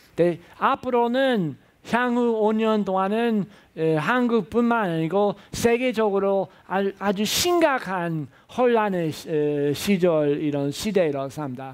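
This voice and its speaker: A man with a non-native accent, high in pitch, at a very slow pace with lively intonation. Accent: foreign accent in Korean. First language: English (speaking Korean). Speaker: professor. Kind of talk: lecture. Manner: halting, many filler sounds.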